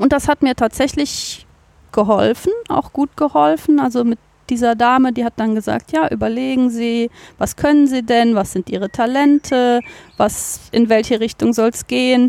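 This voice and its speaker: Her voice pitched fairly high, a woman speaks with a dark, mellow tone. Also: dry, close sound with no echo. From Cologne, Germany. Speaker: biologist, nature garden manager. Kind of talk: interview. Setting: outdoors in a garden.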